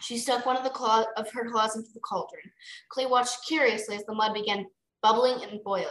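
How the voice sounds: A natural reading voice with fairly even intonation over a quiet background.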